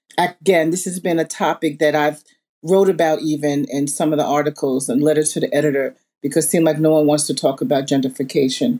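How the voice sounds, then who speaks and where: A woman with an American accent talks very fast at a very deep, low pitch, her tone dark and mellow, with ordinary pitch variation on a very clean recording with a silent background. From Southampton, Long Island, New York. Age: 60s. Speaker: museum founder and community advocate. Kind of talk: panel discussion.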